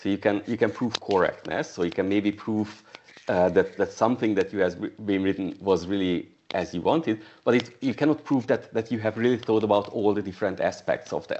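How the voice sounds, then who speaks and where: Speaking at a fairly quick pace, a man with a fairly low voice talks with a non-native accent. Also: ordinary pitch variation. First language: not English. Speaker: software testing coach and trainer. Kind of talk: casual chat. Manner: halting.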